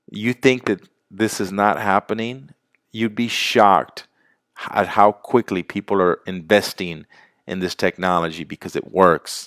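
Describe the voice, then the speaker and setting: Recorded very cleanly with a silent background and a dry, close sound with no echo, a man with a fairly low pitch speaks fairly slowly in an animated tone, with ordinary pitch variation. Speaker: sales presenter. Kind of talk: sales pitch.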